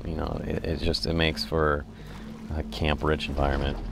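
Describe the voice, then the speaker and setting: Over noticeable background noise, a man speaks at a fairly quick pace with a very deep, low pitch. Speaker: gaming commentator. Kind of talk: casual gameplay commentary.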